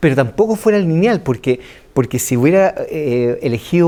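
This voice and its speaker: This man speaks in a Chilean accent with a dark, mellow tone. His intonation is lively and his pace moderate. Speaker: writer and screenwriter. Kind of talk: interview answer.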